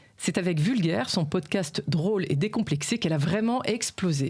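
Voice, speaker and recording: Using an ordinary speaking voice, a woman speaks at a moderate pace with a fairly low pitch and lively intonation. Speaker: podcast host. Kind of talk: podcast intro read.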